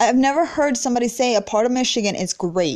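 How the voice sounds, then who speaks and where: A woman's animated tone and lively intonation at a fairly quick pace. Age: 20s. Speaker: podcaster. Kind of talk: casual monologue.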